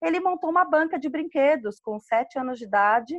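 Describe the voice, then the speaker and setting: Lively intonation rides a moderate pace. The sound is dry and close with no echo, over a quiet background. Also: woman. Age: 40s. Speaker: entrepreneur, podcast community member. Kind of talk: casual chat.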